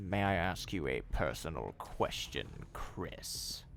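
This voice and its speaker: A man in a put-on character voice at a fairly slow pace, over clear background noise. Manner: smooth, menacing.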